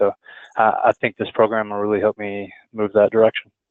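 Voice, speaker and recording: This is a man's voice. He speaks with a Texan accent. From Texas. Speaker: student, product designer. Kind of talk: class self-introduction. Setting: online class web meeting.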